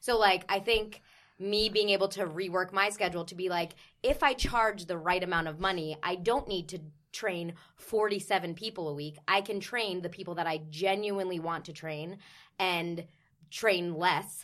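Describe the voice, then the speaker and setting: A woman in an American accent, an unremarkable speaking voice at medium pitch, moderate pace and fairly even intonation, on a very clean recording with a silent background. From New Jersey. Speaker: personal trainer, former dancer. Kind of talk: casual chat.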